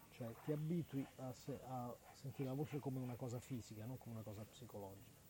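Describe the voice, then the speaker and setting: The voice is somewhat breathy with a dark, mellow tone, racing at a very fast pace with hardly any pauses. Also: man, medium pitch for a man, ordinary pitch variation. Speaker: community radio host. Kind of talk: casual live radio chat; guided vocal exercise. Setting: outdoors at night by a lake. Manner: talkative.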